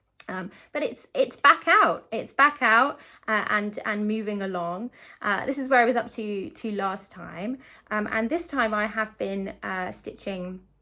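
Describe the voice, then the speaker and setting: On a very clean recording with a silent background, a woman with a British accent speaks at medium pitch in a bright, sharp tone with lively intonation. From UK. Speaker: cross-stitch video creator. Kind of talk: casual chat. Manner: fast; hesitant, many fillers.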